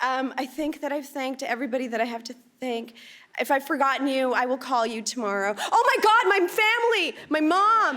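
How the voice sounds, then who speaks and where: Projecting a raised voice, a woman talks at a fairly quick pace in a high pitch with very wide pitch swings and a Canadian accent. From Canada, immigrated from Punjab at age four. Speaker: actor. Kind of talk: award acceptance speech. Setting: stage with audience. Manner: halting.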